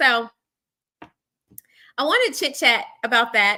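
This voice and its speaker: In a very clean recording with a silent background, a woman speaks at a moderate pace in a fairly high pitch, her tone animated, bright and sharp. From Arkansas, US South. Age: 40s. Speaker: livestream host. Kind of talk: casual chat. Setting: live stream.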